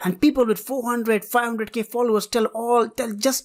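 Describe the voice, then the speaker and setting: A woman with a non-native accent speaks at a moderate pace on a very clean recording with a silent background. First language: not English. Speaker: trading analysis youtuber. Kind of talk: tutorial.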